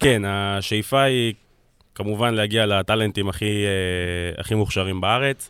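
On a very clean recording with a silent background, a man has an ordinary speaking voice, with a fairly low pitch and fairly even intonation. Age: 20s. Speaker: football scout and analyst. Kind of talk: casual chat. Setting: studio.

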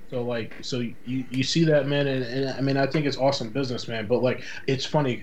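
With a Boston accent and medium pitch, a man talks at a fairly quick pace with hardly any pauses and a monotone, flat intonation, amid noticeable background noise and audible room echo. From Boston, Massachusetts. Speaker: podcast guest. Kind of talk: casual chat.

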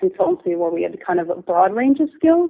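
With an American accent, a woman talks in an unremarkable speaking voice, at medium pitch with ordinary pitch variation. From US East Coast, New Jersey. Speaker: designer and ceramics company owner. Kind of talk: interview.

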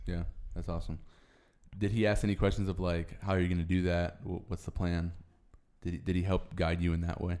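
Very deep and low in pitch, a man speaks with a dark, mellow tone, monotone and flat, at a fairly quick pace broken by long, frequent pauses. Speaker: podcast host. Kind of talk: casual chat.

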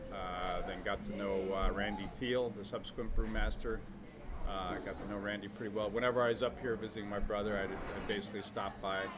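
Over noticeable background noise, a man with a fairly low pitch talks at a fairly quick pace in a monotone, flat intonation. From northern New Jersey. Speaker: brewer. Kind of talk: interview. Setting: at a beer festival event.

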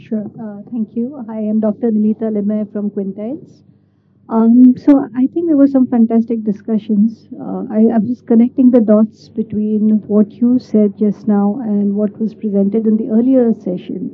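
Fairly high in pitch, a woman with an unremarkable speaking voice talks with fairly even intonation. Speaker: audience member asking question. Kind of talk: audience question. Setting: conference hall with audience.

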